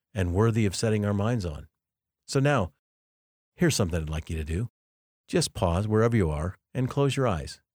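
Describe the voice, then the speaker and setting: On a very clean, silent recording with a dry, close sound and no echo, a man with a fairly low pitch talks at a fairly quick pace, his intonation lively and his pauses long and frequent. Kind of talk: guided meditation.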